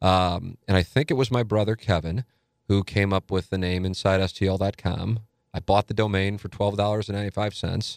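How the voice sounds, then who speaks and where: A man with an American accent talks at a moderate pace and fairly low pitch, his intonation fairly even, in a normal speaking voice with a dry, close sound and no echo. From St. Louis, Missouri (South City). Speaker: sports radio host and website founder. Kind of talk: casual interview chat.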